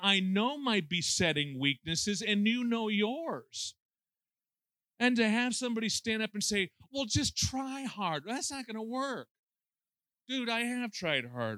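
Projecting a raised voice, a man with an American accent and a high pitch sounds bright and sharp on a very clean recording with a silent background. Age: 60s. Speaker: pastor. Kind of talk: sermon. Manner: animated.

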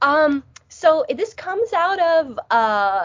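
Very wide pitch swings with a Midwestern accent. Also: woman. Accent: Midwestern-sounding. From US Northeast, New Jersey. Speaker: theology professor. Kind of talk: interview.

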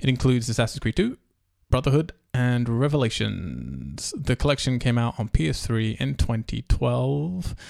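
In a very clean recording with a silent background, a man speaks with an English accent. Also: moderate pace. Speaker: podcast host. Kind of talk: casual chat; news reading. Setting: home dining room.

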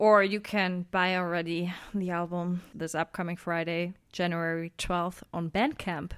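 A woman's fairly low voice with a German accent, fairly slow and monotone, flat in intonation, hardly any pauses, in a very clean recording with a silent background. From Saxony, Germany. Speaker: a cappella singer and composer. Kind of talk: casual interview. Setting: radio studio.

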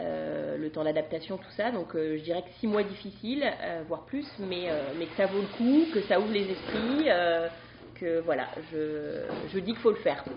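Over noticeable background noise, a woman speaks at a fairly slow pace and medium pitch, with very wide pitch swings. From France, Brittany. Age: 30s. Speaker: stay-at-home mother, former nurse. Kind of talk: casual chat. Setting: studio.

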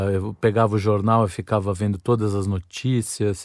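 A man with a fairly low voice speaks in a monotone, flat intonation at a fairly slow pace. The recording is very clean, with a silent background. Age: 40s. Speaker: podcast host. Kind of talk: solo monologue, casual storytelling. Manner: halting, repeated words.

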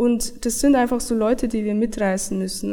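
Marked by vocal fry, the speaker's dark, mellow tone unfolds at a moderate pace. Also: woman. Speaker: software developer. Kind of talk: interview.

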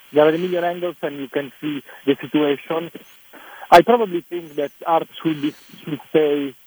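With an Italian accent, a man speaks at a moderate pace and a fairly high pitch, the sound dry and close with no echo, though background noise is noticeable. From Italy. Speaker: film director. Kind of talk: interview. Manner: halting.

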